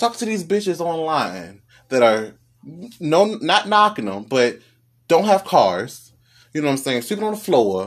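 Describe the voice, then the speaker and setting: In a very clean recording with a silent background, a man with a fairly high, animated voice swings very widely in pitch at a moderate pace, leaving long, frequent pauses. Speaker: podcast host. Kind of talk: angry rant, casual street-style vent to listeners. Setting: solo podcast recording. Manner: animated, scolding, sarcastic.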